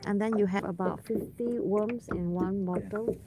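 A woman at a very slow pace, dry with no echo, over noticeable background noise. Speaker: vlogger angler. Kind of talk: casual vlog chat. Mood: relaxed, amused. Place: waterside. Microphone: phone near.

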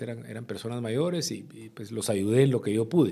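A man talks at a fairly quick pace with vocal fry, a dark, mellow tone and lively intonation over a quiet background. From Guatemala. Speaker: former politician and businessman; former politician. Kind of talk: interview. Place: studio. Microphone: studio mic.

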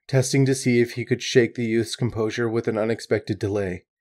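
Reading aloud in a natural voice, intonation fairly even throughout

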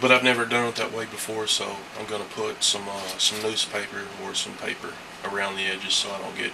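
Noticeable background noise accompanies speech delivered fairly quickly. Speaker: mask painter. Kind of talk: craft tutorial narration. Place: home room. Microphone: camera far.

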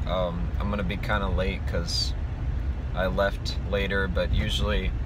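The sound is dry, with no echo. Noticeable background noise runs underneath. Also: man. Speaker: musician vlogger. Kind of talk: casual vlog chat. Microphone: phone near.

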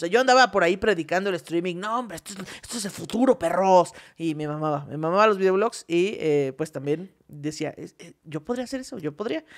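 Speaking at a fairly quick pace over a quiet background, a woman with a fairly low pitch uses lively intonation and big swings in loudness. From Mexico. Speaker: comedy podcast co-host; podcast co-host. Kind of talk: casual comedic chat. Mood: playful, joking. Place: studio. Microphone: studio mic.

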